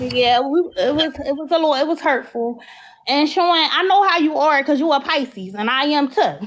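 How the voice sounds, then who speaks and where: A woman in a Philadelphia accent talks at a moderate pace. Her pitch is high, with ordinary variation. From Philadelphia, US. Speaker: caller. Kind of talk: casual chat.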